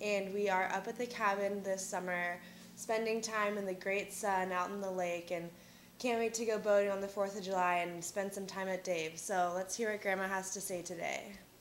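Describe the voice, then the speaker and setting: Amid audible room echo, a woman speaks at a moderate pace and medium pitch with monotone, flat intonation. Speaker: college student interviewing grandmother. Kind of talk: family interview.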